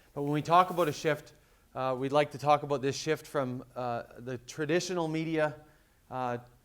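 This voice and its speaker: With a western Canadian accent, a man speaks at a fairly quick pace, his pitch fairly high and his intonation fairly even. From western Canada. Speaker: conference speaker, reputation management business. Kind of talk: conference presentation. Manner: frequent fillers and repetitions.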